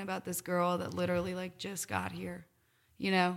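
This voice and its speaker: A woman with an American accent speaks at a moderate pace in a bright, sharp tone of medium pitch. The recording is very clean with a silent background. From Iowa, Cedar Rapids. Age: 30s. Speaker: country musician. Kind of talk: casual chat.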